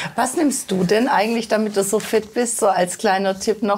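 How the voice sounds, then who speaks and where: A woman talks at a moderate pace with fairly even intonation. Light background noise sits behind her. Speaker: TV health show host. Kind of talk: interview conversation in a studio show. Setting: studio. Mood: warm, cheerful. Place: studio. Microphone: lapel.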